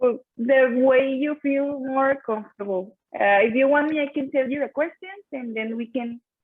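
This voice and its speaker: A woman speaks with a Spanish accent at a moderate pace. Her pitch varies in an ordinary way. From Mexico. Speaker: talk show host, engineering student. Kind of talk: interview.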